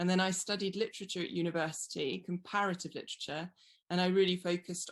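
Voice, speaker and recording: A woman's fairly low voice in a British accent, very fast, with fairly even intonation. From England. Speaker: wine writer. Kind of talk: interview.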